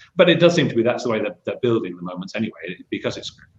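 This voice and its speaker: The speaker is a man. He has a Mancunian accent. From Manchester, England. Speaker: marketing agency professional. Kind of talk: panel discussion. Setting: live video call broadcast.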